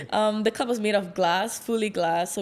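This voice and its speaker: A woman speaks with fairly even intonation in a very clean recording with a silent background. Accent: American. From Singapore. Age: 20s. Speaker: Olympic fencer. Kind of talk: interview.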